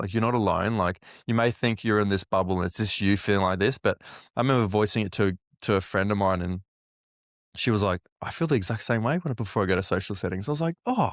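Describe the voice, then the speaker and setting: A man talks at a very fast pace with a fairly low pitch and ordinary pitch variation, recorded dry and close with no echo on a very clean track with a silent background. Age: 20s. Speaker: podcast host and mental health advocate. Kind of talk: interview conversation.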